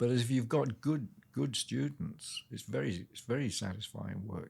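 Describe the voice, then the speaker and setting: A man with a medium pitch speaks at a moderate pace with lively intonation, vocal fry and big swings in loudness. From North Wales (born in Birmingham, England). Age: 80s+. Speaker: retired zookeeper and music teacher. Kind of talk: interview. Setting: in person. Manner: hesitant, with repeated words.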